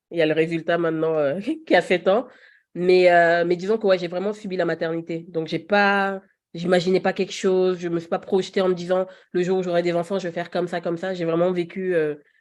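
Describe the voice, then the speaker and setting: At a fairly quick pace, an unremarkable speaking voice shows big swings in loudness over a quiet background. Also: woman. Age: 30s. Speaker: podcast guest, mother. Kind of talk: casual interview conversation.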